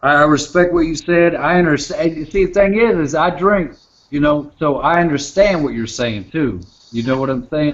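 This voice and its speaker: Here a man speaks with a Southern US accent at a moderate pace. His voice sits fairly high, with ordinary pitch variation. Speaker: hangout participant. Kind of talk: casual chat. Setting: video call.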